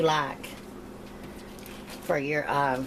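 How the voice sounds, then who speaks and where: A woman with an American accent, her pitch very deep and low, delivering a flat monotone at a very slow pace over noticeable background noise. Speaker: home cooking youtuber. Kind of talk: cooking tutorial. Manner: casual.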